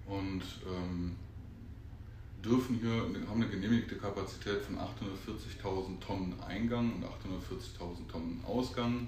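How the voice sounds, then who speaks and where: With audible room echo, a man speaks at a very slow pace in a fairly low pitch with ordinary pitch variation. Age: 30s. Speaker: recycling company operations manager. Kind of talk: casual interview. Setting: on location at a company site.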